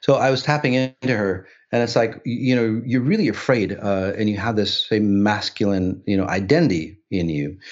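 A man's ordinary speaking voice, fairly low in pitch with ordinary pitch variation, at a moderate pace with hardly any pauses. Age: 60s. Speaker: spiritual healer. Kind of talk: casual chat.

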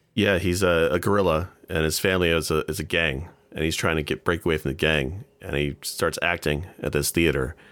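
On a very clean recording with a silent background, a man with a very deep, low pitch and vocal fry speaks at a fairly quick pace with very even loudness and fairly even intonation. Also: hardly any pauses. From Ontario, Canada. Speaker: podcast guest. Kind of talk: casual chat.

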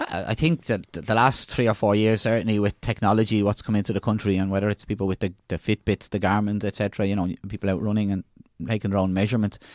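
Talking very fast with an Irish accent, a man keeps a fairly low pitch and fairly even intonation in a very clean recording with a silent background and a dry, close sound with no echo. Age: 40s. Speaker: leisure services executive. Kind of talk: casual chat.

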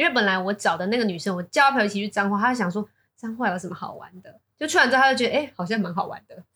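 A woman with a Taiwanese accent talks at a very fast pace, medium in pitch, with lively intonation, a bright, sharp tone and big swings in loudness. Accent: Taiwanese Mandarin. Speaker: business executive. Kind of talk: casual interview chat.

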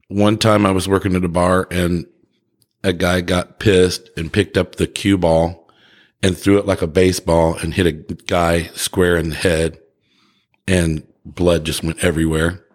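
This man's pitch is very deep and low. He speaks at a fairly slow pace in a monotone, flat intonation. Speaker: bartender and airline worker. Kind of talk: casual chat. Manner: jokey.

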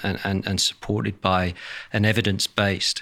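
This man speaks with a British accent at a fairly low pitch. His tone is bright and sharp. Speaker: industry association chief executive. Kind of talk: interview.

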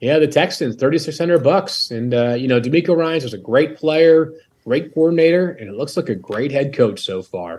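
A man with an unremarkable speaking voice and lively intonation at a moderate pace, hardly any pauses, against a quiet background. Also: fairly high pitch for a man. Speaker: fantasy football analyst. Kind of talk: casual chat.

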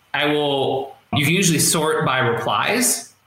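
Amid noticeable background noise, a man speaks with lively intonation. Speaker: copywriter. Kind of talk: interview. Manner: fast.

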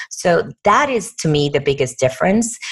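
A woman speaks with a Puerto Rican accent. Her pitch is fairly low and her pace moderate. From Puerto Rico. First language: Spanish. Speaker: corporate diversity executive. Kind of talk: interview.

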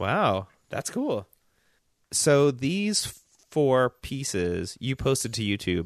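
A man talks at a very slow pace. He has a slight Southern US accent. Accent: slight Southern, barely audible. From US South, Memphis. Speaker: podcast co-host and designer. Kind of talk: casual chat.

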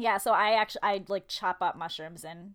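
Loud and at a moderate pace, a woman speaks with a medium pitch. The recording is very clean, with a silent background. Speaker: podcast co-host. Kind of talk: casual chat.

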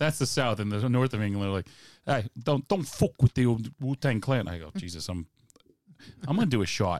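An ordinary speaking voice with lively intonation moves at a moderate pace, the sound dry and close with no echo on a very clean recording with a silent background. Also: man, medium pitch for a man. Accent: American. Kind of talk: casual chat.

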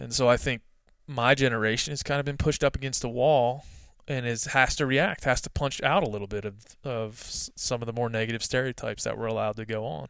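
A man with an American accent and an unremarkable speaking voice talks fairly quickly at a medium pitch with fairly even intonation. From US East Coast. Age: 30s. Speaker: hunting writer and editor. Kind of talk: casual interview. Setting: remote call.

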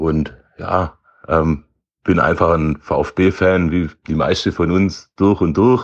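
A man talks with a very deep, low pitch. His pitch variation is ordinary. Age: 30s. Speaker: health insurance clerk and club board candidate. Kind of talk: self-introduction.

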